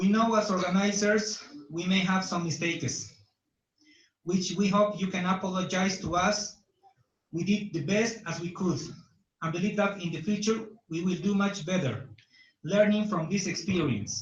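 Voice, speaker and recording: A man with a Bolivian accent speaks in a high voice at a moderate pace, with ordinary pitch variation. He takes long, frequent pauses, and audible room echo surrounds him. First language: Spanish. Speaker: conference organizer. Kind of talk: welcome speech read aloud. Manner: formal.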